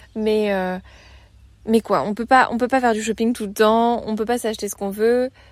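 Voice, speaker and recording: This woman's voice sits fairly high in pitch. Her intonation stays monotone and flat. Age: 20s. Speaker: travel podcaster. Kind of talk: casual monologue. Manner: informal, hesitant with fillers.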